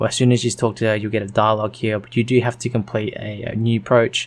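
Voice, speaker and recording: His intonation stays flat and monotone. The man's pitch sits in the medium range. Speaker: gaming youtuber. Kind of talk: tutorial. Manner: hesitant, many fillers.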